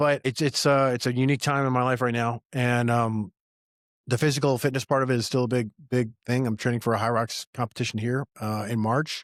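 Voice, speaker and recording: A man's medium-pitched, monotone delivery at a fairly quick pace, dry and close with no echo, on a very clean recording with a silent background. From Appalachian Virginia, US. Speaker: entrepreneur and army veteran. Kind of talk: casual podcast conversation.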